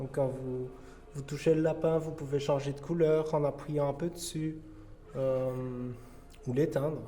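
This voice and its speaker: A fairly high-pitched man, monotone and flat, at a fairly slow pace with audible room echo. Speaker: paranormal investigator. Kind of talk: on-location ghost hunt narration. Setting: dark building at night. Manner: whispering; halting.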